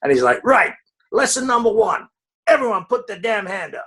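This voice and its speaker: This is a man with a southern English accent. He talks at a moderate pace. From Dartford, England. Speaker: film trade magazine executive. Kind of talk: interview answer.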